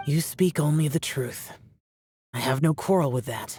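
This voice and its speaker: The voice is a put-on character voice at a low-to-middle pitch. It moves at a moderate pace. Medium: video game. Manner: terse, formal.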